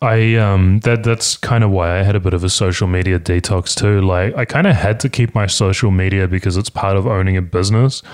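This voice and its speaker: With a New Zealand accent, a man speaks in fairly even intonation. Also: fairly low pitch for a man, fairly quick pace, hardly any pauses, very even loudness. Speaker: podcast host. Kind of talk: casual chat. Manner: fast.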